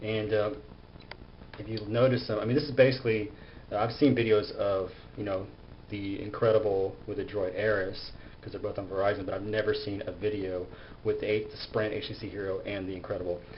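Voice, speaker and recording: A man mumbles at a fairly quick pace, his fairly low voice somewhat breathy and his intonation fairly even. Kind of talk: casual gadget review to camera. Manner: mumbling, halting.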